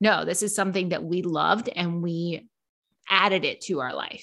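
This woman talks at a fairly quick pace in a normal speaking voice, her pitch fairly low. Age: 40s. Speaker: watch content creator. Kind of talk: casual chat.

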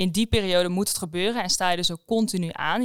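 A woman's medium-pitched voice at a very fast pace, with ordinary pitch variation, in a very clean recording over a silent background. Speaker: podcast host. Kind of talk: interview.

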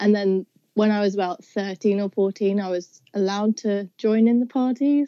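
The speaker has a southeast English accent and fairly even intonation. The pace is moderate. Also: woman, medium pitch for a woman. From southeast England. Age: 20s. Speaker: university student. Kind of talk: casual chat.

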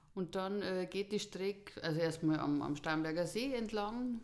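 A woman talks at a medium pitch. Noticeable background noise is present. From Bavaria, Erding district. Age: 40s. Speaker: podcast guest, hobby hiker. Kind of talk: casual interview, personal story.

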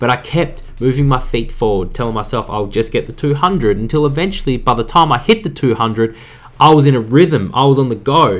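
A man speaks in an ordinary speaking voice at a fairly quick pace. His pitch is medium and his intonation lively. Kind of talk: pep talk. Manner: earnest, direct, urging listeners to act now; casual, conversational, upbeat.

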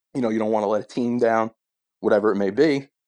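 Against a quiet background, a man with a New Jersey accent speaks with fairly even intonation. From New Jersey, Sayreville. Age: 20s. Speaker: podcast guest sharing weight-loss journey. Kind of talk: casual chat.

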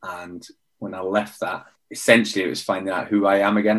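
A man speaks with a British accent at a fairly low pitch. His pace is fairly quick. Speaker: former Royal Marines commando, mentor and coach. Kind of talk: casual interview conversation.

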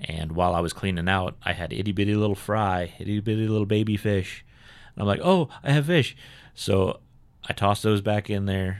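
Fairly even intonation marks this man's American accent. The recording is very clean, with a silent background. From California. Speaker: retired military investigator. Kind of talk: casual interview chat.

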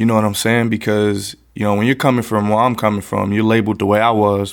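Recorded very cleanly against a silent background, a man with an American accent speaks at a fairly quick pace in a fairly low pitch with monotone, flat intonation. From US South, West Palm Beach, Florida. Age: 30s. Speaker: youth violence prevention organizer. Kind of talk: podcast interview.

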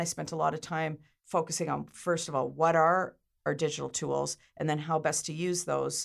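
This Canadian-accented voice moves at a moderate pace. The recording is very clean, with a silent background. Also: woman. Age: 50s. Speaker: media company founder. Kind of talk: interview.

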